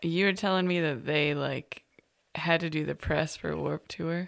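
A woman with a very deep, low voice speaks at a fairly slow pace, with vocal fry and ordinary pitch variation. The recording is very clean, with a silent background. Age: 30s. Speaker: podcast co-host and parent. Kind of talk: casual chat.

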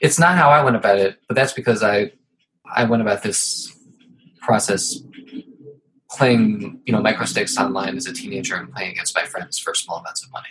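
A man with an American accent at a fairly quick pace, with long, frequent pauses. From Ohio. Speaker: poker podcast host. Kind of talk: casual interview chat.

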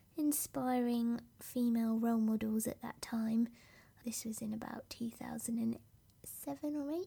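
Soft-spoken and very slow, a woman with a British accent talks at a fairly high pitch in a dark, mellow tone. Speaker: podcast host and business coach. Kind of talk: solo podcast monologue, personal story. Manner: softly spoken, reflective.

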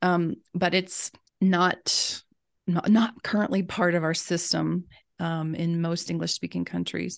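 A woman with an American accent at a fairly slow pace against a quiet background. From US South. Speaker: reading education specialist. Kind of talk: interview.

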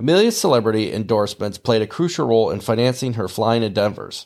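With a Midwestern US accent, a man speaks fairly quickly at a medium pitch with ordinary pitch variation. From US Midwest. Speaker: podcast host, aviation podcaster. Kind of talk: scripted narration mixed with casual chat.

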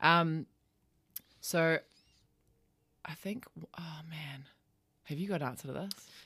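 Speaking at a fairly slow pace with long, frequent pauses, a woman with an Australian accent has a very deep, low pitch, a bright, sharp tone and ordinary pitch variation. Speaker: podcast host. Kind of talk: casual chat. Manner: casual, swears freely.

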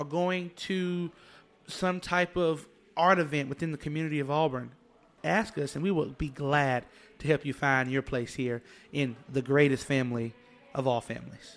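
A man with an Alabama accent is heard in a very clean recording with a silent background. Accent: Southern US (Alabama). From Alabama, US South. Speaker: university student leader. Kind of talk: interview. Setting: studio.

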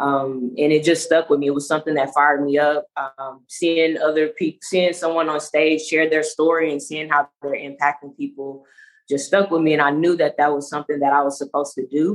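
A woman with an American accent speaks in a very deep, low pitch and a monotone, flat intonation. Her pace is fairly quick, with hardly any pauses. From Louisiana, US South. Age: 30s. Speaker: leadership coach and podcaster. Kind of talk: casual interview chat.

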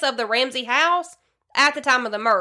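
In a very clean recording with a silent background, a woman with a Southern US accent speaks at a moderate pace with lively intonation and a bright, sharp tone.

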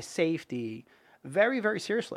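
A high-pitched man with a New York accent on a very clean recording with a silent background. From Brooklyn and Long Island, New York. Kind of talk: casual interview chat. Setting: studio.

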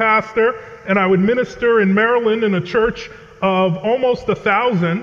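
Over noticeable background noise, a man with an American accent talks at a moderate pace with ordinary pitch variation. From New England, Connecticut. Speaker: pastor. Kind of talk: sermon. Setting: chapel with audience.

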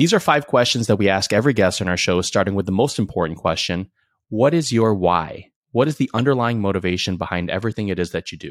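In a very clean recording with a silent background, a man with a fairly low pitch speaks at a very fast pace with lively intonation. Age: 30s. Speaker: podcast host. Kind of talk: casual interview. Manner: enthusiastic.

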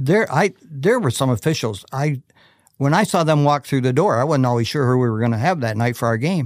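In a very clean recording with a silent background, a man with an ordinary speaking voice talks at a medium pitch and a fairly quick pace, keeping very even loudness and lively intonation. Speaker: retired basketball coach. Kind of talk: casual interview chat. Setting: studio.

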